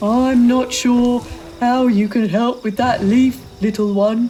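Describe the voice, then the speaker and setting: A put-on character voice, fairly high in pitch, delivered at a fairly slow pace. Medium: read story.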